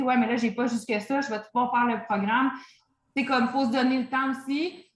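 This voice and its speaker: Speaking with a Quebec accent, a woman keeps her fairly high pitch on a fairly even intonation. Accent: Québécois French. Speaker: fitness coach. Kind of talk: online training session Q&A. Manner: casual, hesitant with many fillers.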